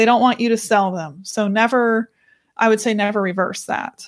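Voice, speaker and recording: A woman with an unremarkable speaking voice talks at a moderate pace with fairly even intonation. The recording is very clean and dry, with a silent background and no echo. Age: 20s. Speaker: author and company CEO. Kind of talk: interview.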